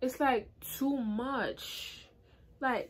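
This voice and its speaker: A woman talks with a high pitch. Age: 20s. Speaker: beauty YouTuber. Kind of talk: casual hair review to camera. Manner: casual, chatty. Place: home room. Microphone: phone near.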